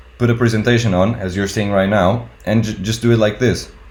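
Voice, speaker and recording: A man with a non-native accent and fairly low pitch, at a fairly quick pace, with audible room echo. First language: not English. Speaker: tattoo artist and YouTuber. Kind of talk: casual talk-to-camera advice video. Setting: home recording on webcam.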